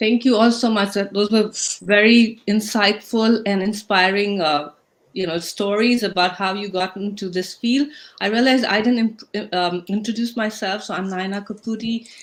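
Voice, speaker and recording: Speaking with an Indian accent, a woman at medium pitch keeps a moderate pace and fairly even intonation. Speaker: talk show host. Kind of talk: panel discussion moderation. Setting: livestream video call.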